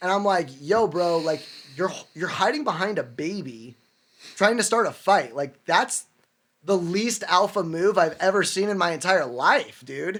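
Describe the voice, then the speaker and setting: Loud and high-pitched, a man speaks with lively intonation. His pace is fairly slow. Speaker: podcast host. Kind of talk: casual chat. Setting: studio. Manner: animated.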